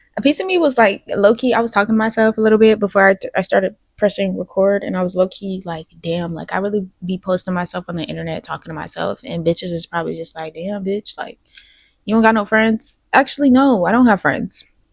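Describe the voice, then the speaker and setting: A woman at medium pitch with ordinary pitch variation at a very fast pace, with a dry, close sound and no echo. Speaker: podcast host. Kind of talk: casual vlog-style podcast chat.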